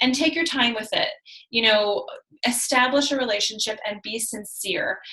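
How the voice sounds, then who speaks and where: Her pitch is high. The woman's voice shows ordinary pitch variation. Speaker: team leader of fitness coaches. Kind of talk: team call presentation. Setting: video call. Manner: fast.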